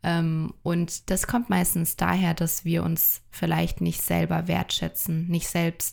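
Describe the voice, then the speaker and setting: The recording is very clean with a silent background, and the words come very slowly. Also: woman. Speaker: podcast co-host and coach. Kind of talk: casual chat.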